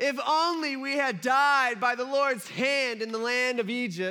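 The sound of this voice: A man puts on a whiny character voice, raised and projected, at an extremely high pitch and a moderate pace.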